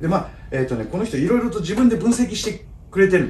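A man's voice swings very widely in pitch, with audible echo from the room. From Kyoto. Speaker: golf club craftsman. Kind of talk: casual chat. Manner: halting. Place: workshop. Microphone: camera far.

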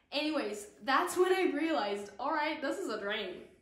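A woman speaks at a very slow pace. Audible room echo surrounds her voice. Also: quiet background. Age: 20s. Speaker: actress; actress introducing herself. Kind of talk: casual chat. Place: home room.

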